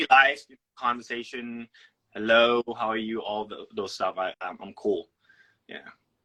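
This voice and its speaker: A man with an English accent and a bright, sharp tone talks at a medium pitch and a fairly slow pace, with long, frequent pauses, big swings in loudness, and a dry, close sound with no echo. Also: fairly even intonation. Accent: good English. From Thailand. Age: 20s. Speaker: actor. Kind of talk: casual chat.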